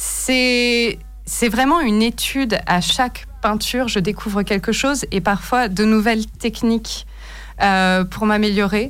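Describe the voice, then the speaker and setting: A woman talks at a very slow pace with fairly high pitch. Her loudness stays very even. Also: ordinary pitch variation. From Paris region, France. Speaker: painter. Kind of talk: radio interview. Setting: radio studio.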